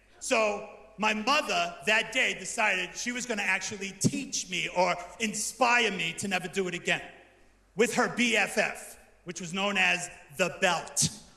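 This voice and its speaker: In a raised, projected voice, a man with a high pitch and an American accent speaks at a fairly slow pace in an animated tone. His pitch varies in an ordinary way, and audible room echo surrounds him. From New Jersey. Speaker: comedian and pastor. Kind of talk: stand-up. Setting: stage with audience.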